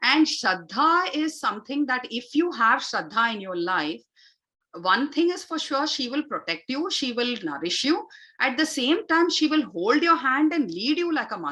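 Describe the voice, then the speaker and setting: A raised, projected voice carries a bright, sharp tone. It moves at a moderate pace with very wide pitch swings. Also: woman, high pitch for a woman. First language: Tamil. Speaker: yoga and Vedic chant teacher. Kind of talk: spiritual talk / online session. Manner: frequent fillers (uh, you know).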